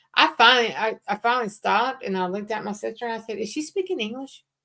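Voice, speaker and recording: With a Southern accent, a woman speaks at a fairly quick pace. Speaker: crafter co-hosting a craft livestream. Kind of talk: casual chat.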